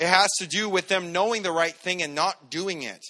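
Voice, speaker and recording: Raising and projecting his voice, a man speaks with a high pitch and a bright, sharp tone. His intonation stays fairly even. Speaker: preacher. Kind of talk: sermon. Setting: church. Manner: loud.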